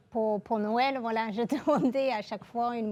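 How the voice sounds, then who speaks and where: With a slight English accent, a woman speaks at a fairly slow pace in a fairly high, monotone voice with flat intonation and a dark, mellow tone, on a very clean recording with a silent background. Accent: slight English-speaking accent in French. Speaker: engineer and aerospace program director. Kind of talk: interview. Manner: hesitant, many filler sounds.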